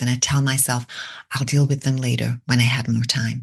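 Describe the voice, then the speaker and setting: Against a quiet background, a woman with a very deep, low pitch speaks at a fairly quick pace, sounding somewhat breathy. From Britain. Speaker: podcast host. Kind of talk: reflective monologue.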